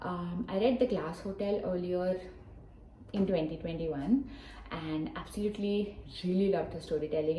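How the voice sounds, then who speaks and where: A woman's fairly low voice in a Telugu accent, with ordinary pitch variation, audible room echo and noticeable background noise. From Hyderabad, southern India. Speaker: book vlogger. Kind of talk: casual vlog talk to camera. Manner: casual, with frequent fillers.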